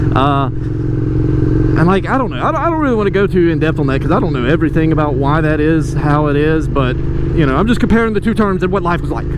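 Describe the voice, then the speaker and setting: Speaking very fast in a Southern US accent, a man with fairly high pitch uses lively intonation at very even loudness, with audible room echo and noticeable background noise. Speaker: motorcycle vlogger. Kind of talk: casual vlog monologue. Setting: outdoors on a motorcycle.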